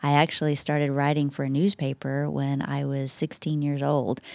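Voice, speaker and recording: Recorded very cleanly against a silent background with a dry, close sound and no echo, a woman with a Texas accent speaks at a moderate pace in a very deep, low pitch. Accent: Texas Southern. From West Texas. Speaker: church communications staff member. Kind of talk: casual chat.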